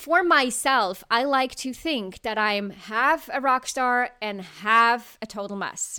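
A woman with a non-native accent and a bright, sharp tone, in a very clean recording with a silent background. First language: not English. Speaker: leadership coach and podcast host. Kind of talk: solo podcast monologue.

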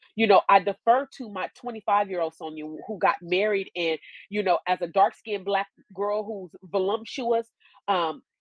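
At a moderate pace, a woman with a medium pitch and an American accent speaks in an animated tone, with ordinary pitch variation and big swings in loudness, in a dry, close sound with no echo over a quiet background. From US West Coast (Oakland, California). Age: 50s. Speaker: educational consultant. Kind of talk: casual chat.

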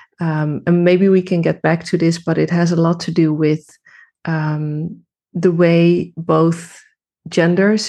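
A woman with a Dutch accent speaks in a fairly low pitch with a dark, mellow tone. Her delivery is fairly slow, with monotone, flat intonation. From Netherlands. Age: 30s. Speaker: women's coach. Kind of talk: interview. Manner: halting.

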